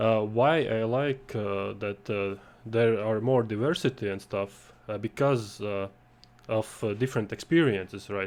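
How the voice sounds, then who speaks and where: A man with a non-native accent speaks at a fairly slow pace and medium pitch, showing ordinary pitch variation. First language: not English. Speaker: game jam organizer and panel host. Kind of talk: panel discussion. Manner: halting, many fillers.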